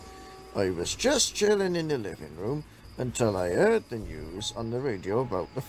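The text is read aloud. It comes in a natural voice.

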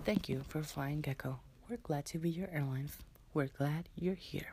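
A man's fairly high voice at a moderate pace, with ordinary pitch variation. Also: slightly mellow tone.

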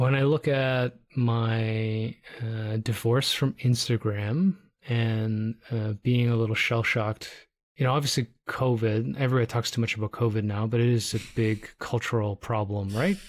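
In a normal speaking voice with a Canadian accent, a man of medium pitch talks at a moderate pace with fairly even intonation and very even loudness on a very clean recording with a silent background. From Toronto, Canada. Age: middle-aged. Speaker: podcast host, photographer. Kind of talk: casual chat.

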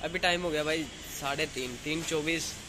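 Speaking at a moderate pace, a man is heard with noticeable background noise. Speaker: vlogger. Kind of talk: casual vlog chat. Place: home room. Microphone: phone near.

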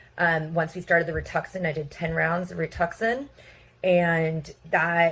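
A woman talks at a moderate pace. Her pitch is fairly low. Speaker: patient. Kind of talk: testimony. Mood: earnest, recounting hardship. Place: home room. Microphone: phone near.

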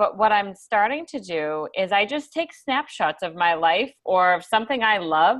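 At a moderate pace, a woman speaks with a medium pitch, a fairly bright tone and lively intonation.

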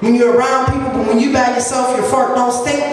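Strong room echo surrounds a woman speaking at a high pitch. Light background noise can be heard. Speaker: stand-up comedian. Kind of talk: stand-up comedy routine. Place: bar. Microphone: pa.

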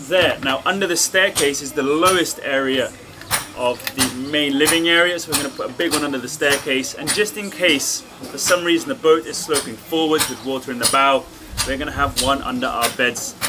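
A man at a fairly quick pace with ordinary pitch variation, noticeable background noise behind him. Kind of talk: tutorial. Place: boat. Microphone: camera far.

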